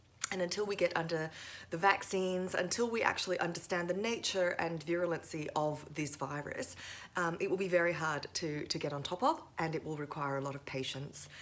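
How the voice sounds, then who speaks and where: Against noticeable background noise, a woman with a fairly low pitch talks at a fairly quick pace with ordinary pitch variation. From Thailand. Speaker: lawyer and lecturer. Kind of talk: interview.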